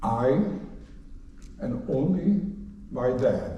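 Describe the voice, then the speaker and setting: A man speaks with lively intonation. Noticeable background noise and audible room echo fill the recording. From Poland, Łódź. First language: Polish. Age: 80s+. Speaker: Holocaust survivor. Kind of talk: lecture.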